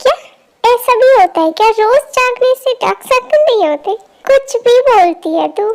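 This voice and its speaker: Putting on a character voice, a woman speaks at an extremely high pitch. Her intonation is lively, and her pace is moderate. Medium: fan dub. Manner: blunt, informal, teasing.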